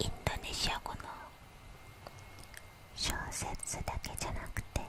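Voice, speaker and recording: The words come out as a fairly slow whisper. Background noise can be clearly heard. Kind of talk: whispered ASMR self-introduction in Japanese. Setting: close-mic ear-to-ear ASMR recording. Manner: whispered, soft.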